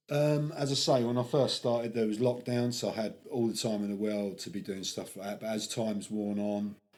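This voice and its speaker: A man with an English accent talks at a fairly quick pace with hardly any pauses, in a medium pitch with ordinary variation. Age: 50s. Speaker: decorator and skateboarder. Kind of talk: podcast interview. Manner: casual.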